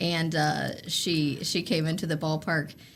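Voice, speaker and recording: Somewhat breathy, a woman speaks with a Southern US accent. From North Carolina (Oak Ridge, near Greensboro). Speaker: sports marketing executive. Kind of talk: casual interview chat.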